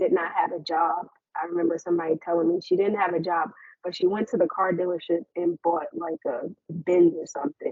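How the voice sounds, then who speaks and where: A woman with an unremarkable speaking voice, fairly low in pitch, talks at a fairly quick pace with fairly even intonation. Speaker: suicide survivor and mental health speaker. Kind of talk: presentation.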